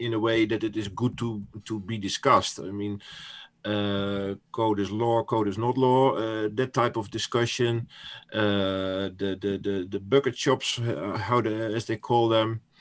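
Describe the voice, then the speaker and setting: Speaking in a Dutch accent, a man uses a fairly low pitch and fairly even intonation at a fairly slow pace. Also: very clean recording, silent background. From Netherlands. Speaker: crypto commentator. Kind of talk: interview. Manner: halting.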